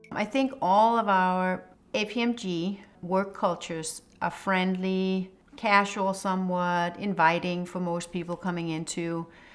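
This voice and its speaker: On a very clean recording with a silent background, a woman speaks at medium pitch with a Danish accent. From Denmark. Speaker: HR executive. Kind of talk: interview testimony.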